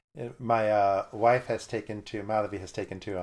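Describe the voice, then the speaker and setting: A man's ordinary speaking voice with an American accent, fairly low in pitch, at a moderate pace. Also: very clean recording, silent background. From New York. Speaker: atheist podcast guest. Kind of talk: casual chat.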